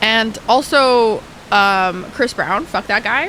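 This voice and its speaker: A woman's animated voice with a bright, sharp tone. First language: Arabic. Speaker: live streamer. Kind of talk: casual gaming stream chat.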